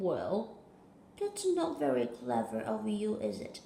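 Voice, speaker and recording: A put-on character voice speaks at a fairly slow pace. There is a slight echo. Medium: read story. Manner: apologetic, vague.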